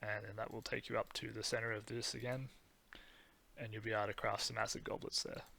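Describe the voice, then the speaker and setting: Speaking at a fairly quick pace, a man with a medium pitch and a bright, sharp tone keeps a monotone, flat intonation. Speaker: game guide creator. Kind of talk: game tutorial voice-over. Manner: monotonous, hesitant with ums.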